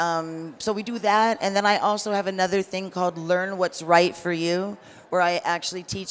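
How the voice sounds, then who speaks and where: A woman with a plain, everyday voice speaks quietly low in pitch for her, fairly so, at a moderate pace with fairly even intonation. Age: 60s. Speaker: cannabis educator. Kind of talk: panel discussion.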